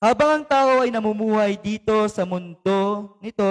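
Dry and close with no echo, a man's high-pitched voice with a Filipino accent moves at a very slow pace. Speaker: preacher. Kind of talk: sermon with fervent proclamation prayer and blessing. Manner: fervent, emphatic, rising intensity with repeated amens; code-switching between Tagalog and English.

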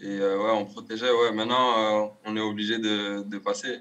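Fairly low male voice, fairly slow and monotone with flat intonation, over a quiet background. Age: 20s. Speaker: footballer; guest. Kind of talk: casual chat. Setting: video call. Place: home room. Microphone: video call.

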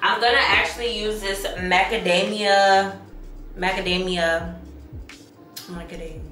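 Over faint background music, a woman speaks with fairly even intonation while the room echoes audibly. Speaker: beauty vlogger. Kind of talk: casual makeup tutorial chat. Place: home room. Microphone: phone near.

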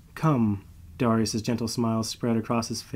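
The delivery here is a natural reading voice.

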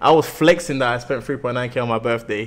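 An animated man with a strong London accent, medium pitch, ordinary pitch variation and a moderate pace, on a very clean recording with a silent background. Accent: thick London. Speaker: live streamer. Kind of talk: casual chat. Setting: livestream.

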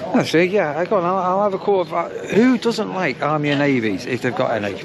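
Over clear crowd noise and clear background noise, a man talks at a fairly quick pace with lively intonation. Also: fairly high pitch for a man.

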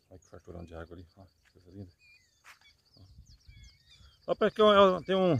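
A moderate pace with big swings in loudness and a dry sound with no echo. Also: man. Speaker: channel host filming. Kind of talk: casual talk to camera. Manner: upbeat, enthusiastic. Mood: admiring, cheerful. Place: open country. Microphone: phone near.

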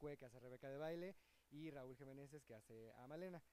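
Dry and echo-free, a man's medium-pitched voice has a dark, mellow tone and a moderate pace. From Mexico, Cancún. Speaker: comedic stage actor. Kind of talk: casual interview. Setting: outdoors outside a theater. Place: street. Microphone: handheld.

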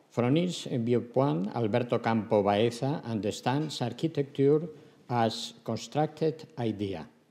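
With a dark, mellow tone, a man talks with ordinary pitch variation and very even loudness. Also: fairly slow pace. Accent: Spanish. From Valencia, Spain. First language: Spanish. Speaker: architecture professor giving keynote. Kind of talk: academic keynote lecture. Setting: conference stage. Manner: formal, hesitant with fillers. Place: hall. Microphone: podium.

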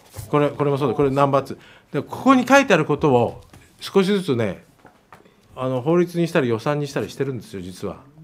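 Lively in intonation, a man talks at a fairly quick pace yet leaves long, frequent pauses. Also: fairly high pitch for a man. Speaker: politician. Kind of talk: casual interview chat. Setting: studio. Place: studio. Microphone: studio mic.

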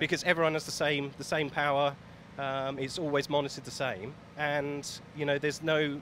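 A man at a fairly quick pace in monotone, flat intonation, with a dry sound with no echo and light background noise. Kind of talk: interview answer. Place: street. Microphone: handheld.

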